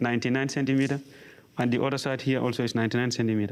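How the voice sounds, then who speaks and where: A monotone, flat delivery in a West African accent. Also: man. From Gambia. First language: Mandinka. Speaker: apprentice mason. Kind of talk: tutorial. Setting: training workshop.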